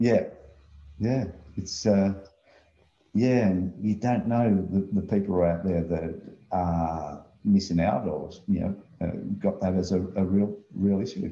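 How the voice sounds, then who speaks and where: A man's dark, mellow, fairly low voice with an Australian accent and long, frequent pauses. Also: ordinary pitch variation. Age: 60s. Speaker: remote work business owner. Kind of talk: casual chat.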